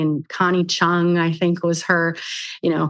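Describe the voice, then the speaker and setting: In a Minnesotan accent, a woman speaks at a moderate pace with a fairly low pitch. The background is quiet. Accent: Minnesota. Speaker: documentary producer. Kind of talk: interview.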